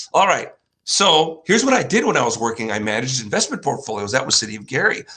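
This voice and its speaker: A man talks very fast with a Chicago accent, his pitch medium and his tone bright and sharp. His pitch swings very widely. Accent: Chicago-area American. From US Midwest, northwest Indiana near Chicago. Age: 60s. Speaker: finance show host, former investment banker. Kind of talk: solo presentation with slides. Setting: home studio in living room. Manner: casual, with hesitations.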